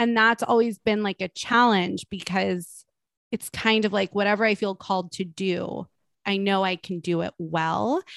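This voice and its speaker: On a very clean recording with a silent background and a dry, close sound with no echo, a woman in a normal speaking voice talks at a medium pitch and moderate pace with fairly even intonation. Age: 30s. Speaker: health coach and podcaster. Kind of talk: casual chat.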